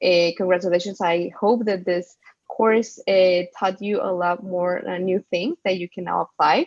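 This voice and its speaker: A woman with a Spanish accent and a medium pitch, at a fairly slow pace, with fairly even intonation and a dry, close sound with no echo. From Mexico. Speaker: business school co-founder. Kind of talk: casual chat.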